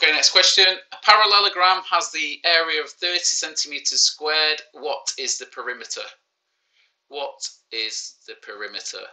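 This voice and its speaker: With a Manchester accent, a man talks at a moderate pace, his loudness swinging widely. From Manchester, England. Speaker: primary school teacher. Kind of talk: live online maths lesson. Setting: live stream. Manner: casual, joking.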